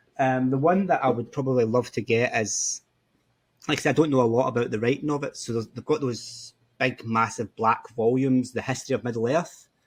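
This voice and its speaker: With a Scottish accent, a man of medium pitch speaks at a fairly quick pace with fairly even intonation. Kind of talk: interview answer.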